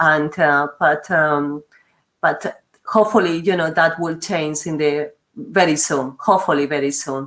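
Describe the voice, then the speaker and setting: With a Spanish accent, a woman speaks at a fairly slow pace in a very deep, low pitch with ordinary pitch variation. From Spain. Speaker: university regional manager, webinar host. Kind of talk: webinar hosting. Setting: online webinar.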